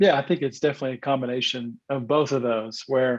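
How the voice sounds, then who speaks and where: A fairly quick delivery with a Southern US accent and ordinary pitch variation. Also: man. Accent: Southern twang. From US South, northeast Arkansas. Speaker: former pro baseball player, sales executive, church leader. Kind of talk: podcast interview.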